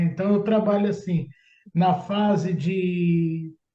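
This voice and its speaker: Fairly slow and fairly even in intonation, a man speaks with a dark, mellow tone. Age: 60s. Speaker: public tender consultant. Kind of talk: interview.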